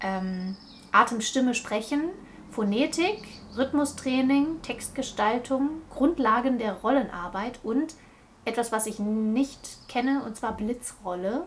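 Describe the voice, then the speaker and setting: Pitch varies in an ordinary way. The pace is very slow. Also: woman, high pitch for a woman. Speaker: podcast host. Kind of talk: casual chat. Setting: recorded in a bedroom.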